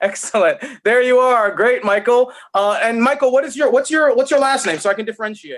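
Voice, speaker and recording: At a fairly quick pace, a man with an extremely high pitch talks in an animated tone with ordinary pitch variation. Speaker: opera singer giving a vocal masterclass. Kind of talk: masterclass coaching.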